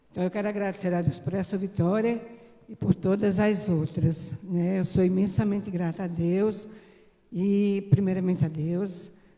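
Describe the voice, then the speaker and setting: A woman at a moderate pace and fairly even intonation, amid noticeable background noise. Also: medium pitch for a woman. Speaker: church member. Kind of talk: testimony.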